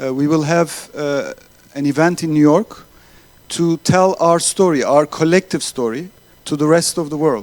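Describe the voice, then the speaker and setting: A man with a Turkish accent and ordinary pitch variation. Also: fairly high pitch for a man, moderate pace. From Turkey. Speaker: accelerator organizer. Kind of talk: closing speech. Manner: halting.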